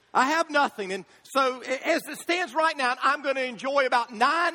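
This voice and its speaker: A man's extremely high pitch comes through in a raised, projected voice with a bright, sharp tone and ordinary pitch variation. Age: 50s. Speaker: pastor. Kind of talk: sermon. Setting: church.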